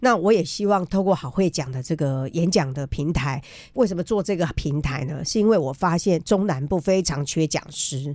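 A woman with a fairly low pitch and a dark, mellow tone talks at a moderate pace with hardly any pauses. Her intonation is lively, and the recording is very clean with a silent background. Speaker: journalist and biographer. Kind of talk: radio interview.

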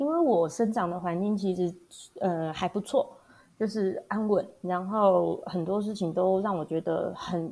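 A woman speaks at a medium pitch, somewhat breathy. The recording is very clean, with a silent background. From Taiwan, Hualien. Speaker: primary school teacher. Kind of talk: interview.

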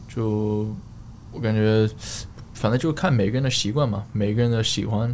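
With a non-native accent, a man talks at a moderate pace, his fairly low pitch holding fairly even intonation. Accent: foreign accent in Mandarin. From Australia, Queensland (Sunshine Coast). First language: English (speaking Chinese). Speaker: fitness coach and fitness blogger. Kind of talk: casual interview chat. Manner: halting, many fillers and code-switching to English.

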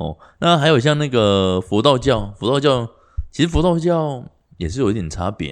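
Over a quiet background, a man with a medium pitch talks at a moderate pace with very wide pitch swings. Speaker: podcast co-host. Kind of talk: casual chat.

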